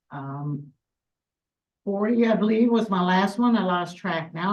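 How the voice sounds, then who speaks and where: This woman speaks with a Newfoundland accent. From Newfoundland, west coast. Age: 50s. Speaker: world champion powerlifter. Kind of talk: interview.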